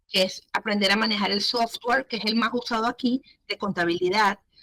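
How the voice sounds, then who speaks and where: In a Venezuelan accent, a woman with a bright, sharp tone and a fairly high pitch talks at a moderate pace with ordinary pitch variation, the sound dry and close with no echo. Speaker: entrepreneur, business owner. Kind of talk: interview.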